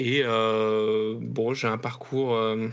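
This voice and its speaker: The intonation is fairly even. It belongs to a man. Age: 30s. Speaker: IT support worker and video game writer. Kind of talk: interview testimony. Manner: hesitant, many fillers.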